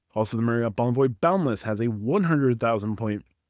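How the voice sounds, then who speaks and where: Against a quiet background, a man speaks at a very fast pace in a dry, close sound with no echo. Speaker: credit card news youtuber. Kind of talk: news roundup monologue.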